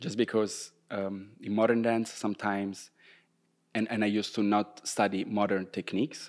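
In a very clean recording with a silent background, a man with an Italian accent speaks at a fairly low pitch in a monotone, flat way. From Italy, Rome. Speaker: professional dancer. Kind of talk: casual interview. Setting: dance studio canteen, windows open, traffic noise.

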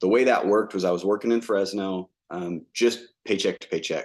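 An unremarkable speaking voice from a man, fairly low in pitch with fairly even intonation, against a quiet background. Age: 30s. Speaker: entrepreneur, drilling company owner. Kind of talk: casual interview.

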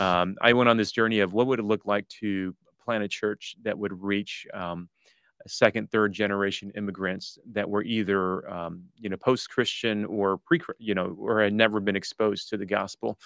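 With a Midwestern American accent, a man speaks at a moderate pace in a fairly low pitch. His intonation is fairly even, and the sound is dry and close, with no echo. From US Midwest, Detroit area. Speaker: pastor and church-planting leader. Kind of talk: interview.

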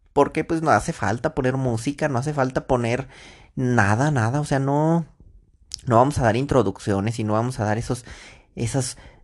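A man with a Mexican accent, animated in tone, at a moderate pace with a medium pitch and ordinary pitch variation, against a quiet background. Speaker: podcaster. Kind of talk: casual monologue. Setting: in bed at night.

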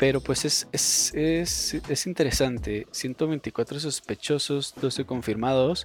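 Speaking at a very slow pace, a man hardly pauses at all. His pitch is medium, with ordinary variation. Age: 20s. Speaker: podcast host. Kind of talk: solo opinion monologue. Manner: halting, many fillers.

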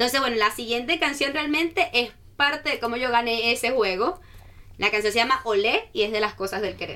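Her tone animated and her intonation lively, a high-pitched woman talks at a fairly quick pace. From Venezuela, Caracas. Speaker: student ambassador. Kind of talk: casual radio interview. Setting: radio studio.

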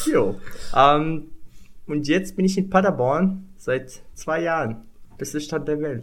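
A man with a Moroccan accent speaks very slowly, leaving long, frequent pauses. His pitch is fairly high, with ordinary variation. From Morocco. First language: Moroccan Arabic (speaking German). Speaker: international student. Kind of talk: casual chat. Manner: halting.

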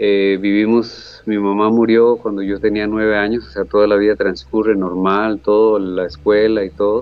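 A man with a Costa Rican accent, hardly any pauses and fairly even intonation, over noticeable background noise. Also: fairly low pitch for a man, moderate pace. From Costa Rica, Guápiles area. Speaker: painter. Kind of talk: interview.

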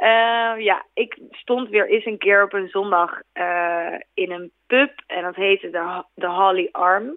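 Speaking very slowly with hardly any pauses, a woman uses a medium pitch and ordinary pitch variation. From Netherlands. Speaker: singer. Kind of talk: interview. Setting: phone call.

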